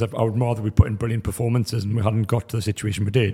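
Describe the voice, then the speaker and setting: In a dark, mellow, somewhat breathy tone, the voice moves at a very fast pace with fairly even intonation. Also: man. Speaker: football pundit panellist. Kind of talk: casual football analysis.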